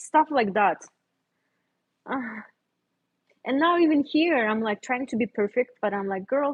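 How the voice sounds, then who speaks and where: Speaking with a non-native accent, a woman uses a high pitch and lively intonation at a fairly slow pace, with long, frequent pauses. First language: not English. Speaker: visual artist. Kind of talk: casual livestream chat. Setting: home art studio, livestream. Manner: relaxed, conversational.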